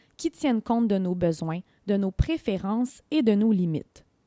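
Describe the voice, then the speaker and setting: A woman with a fairly high pitch and a dark, mellow tone is heard in a very clean recording with a silent background and a dry, close sound with no echo. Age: 20s. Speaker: podcast host and community organization trainer. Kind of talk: scripted narration. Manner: formal.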